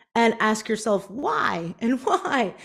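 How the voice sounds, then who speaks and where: Lively intonation runs through a normal speaking voice with a Canadian accent. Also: woman. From Canada, Prince Edward Island. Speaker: business strategist and author. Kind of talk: keynote talk.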